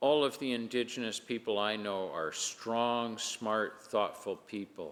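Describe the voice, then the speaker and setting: A man speaks with a Canadian accent at a medium pitch. He has an unremarkable speaking voice with ordinary pitch variation. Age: 60s. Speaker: provincial legislator. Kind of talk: parliamentary speech. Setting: legislative chamber. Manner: formal.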